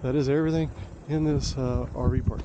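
Over noticeable background noise, a man speaks in a dry sound with no echo. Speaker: RV traveler vlogger. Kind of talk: casual vlog chat. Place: open country. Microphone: phone near.

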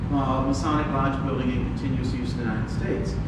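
Audible room echo with loud background noise. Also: man. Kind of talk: interview answer. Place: hall.

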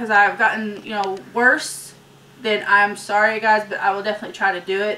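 A woman talks at a fairly quick pace with a fairly high pitch. Noticeable background noise sits behind her voice. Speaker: couponing vlogger. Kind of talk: casual vlog outro.

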